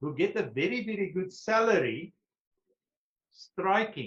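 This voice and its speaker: Speaking very slowly with a South African accent, a man uses a high pitch and very wide pitch swings. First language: Afrikaans. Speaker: retired police brigadier and historian. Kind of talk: question and answer; lecture.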